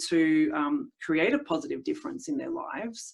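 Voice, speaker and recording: With an Australian accent, a woman speaks at a moderate pace, her pitch swinging very widely. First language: Italian. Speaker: speech pathologist. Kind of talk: interview. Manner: hesitant, many fillers.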